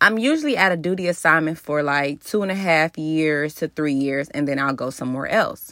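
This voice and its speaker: In an American accent, a woman talks at a moderate pace in an animated, bright and sharp tone. The recording is very clean with a silent background. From Cincinnati, Ohio. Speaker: podcast host, army officer. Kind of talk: motivational solo podcast.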